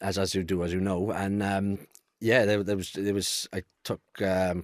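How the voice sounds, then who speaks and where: Speaking with a Welsh accent, a man has a fairly low pitch and a moderate pace. His monotone, flat delivery sounds dry and close, with no echo. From Wales, near Cardiff. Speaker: male fertility awareness advocate. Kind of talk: podcast conversation. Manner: halting, with frequent repetitions.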